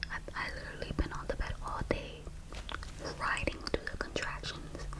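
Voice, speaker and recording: Whispering at a fairly slow pace, the woman is heard over noticeable background noise. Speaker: ASMR creator. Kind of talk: ASMR storytime, personal birth story.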